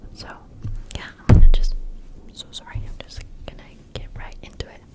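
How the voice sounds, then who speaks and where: Noticeable background noise sits under a whispered voice. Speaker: college student; ASMR creator. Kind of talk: ASMR Q&A, close whispering.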